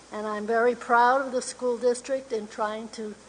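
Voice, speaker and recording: A woman's fairly slow, monotone voice with an American accent and flat intonation, over noticeable background noise. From Massachusetts. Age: 80s+. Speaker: public commenter at school board meeting. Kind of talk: public comment.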